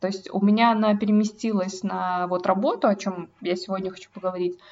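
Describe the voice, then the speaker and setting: Somewhat breathy, this voice moves at a moderate pace with fairly even intonation. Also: woman. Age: 20s. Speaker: podcast co-host. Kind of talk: casual chat.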